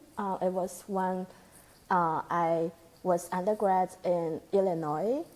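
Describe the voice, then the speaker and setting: In a Chinese accent, a woman speaks at a very slow pace and a medium pitch with fairly even intonation. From China. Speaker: postdoctoral researcher. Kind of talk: interview conversation. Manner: halting.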